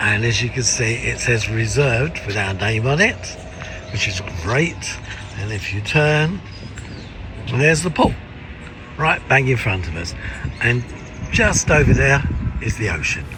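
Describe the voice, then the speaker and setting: Music plays in the background as a man with a medium pitch and lively intonation speaks at a fairly slow pace, pausing long and often, with audible room echo. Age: 70s. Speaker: travel vlogger. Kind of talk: casual vlog narration.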